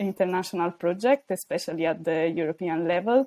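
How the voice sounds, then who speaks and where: A woman with an Italian accent, a medium pitch and a dark, mellow tone, in a dry, close sound with no echo. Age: 20s. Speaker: PhD student, youth organisation co-founder. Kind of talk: podcast interview. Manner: hesitant, many fillers.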